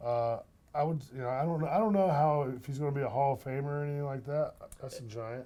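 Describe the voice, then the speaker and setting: With a Southern US accent, a man speaks at a very fast pace in a fairly high pitch, with a dark, mellow tone and ordinary pitch variation. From North Carolina. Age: 50s. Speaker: retired minor league baseball executive. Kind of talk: casual chat.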